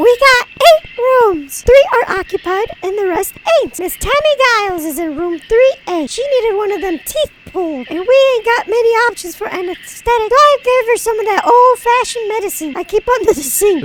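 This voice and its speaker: Doing a put-on character voice, a man talks at a moderate pace with an extremely high pitch. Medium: game stream. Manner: folksy, blunt, drawling.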